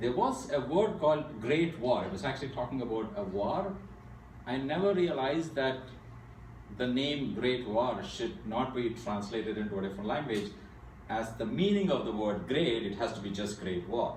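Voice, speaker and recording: Noticeable background noise and audible room echo surround a man who speaks at a medium pitch and a moderate pace with lively intonation. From India. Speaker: AI speaker at a tech meetup. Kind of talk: technical presentation. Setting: meetup talk before an audience.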